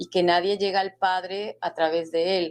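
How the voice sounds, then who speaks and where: A woman speaks with a fairly low pitch. Her intonation stays fairly even. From Mexico. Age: 60s. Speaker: author. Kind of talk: interview testimony.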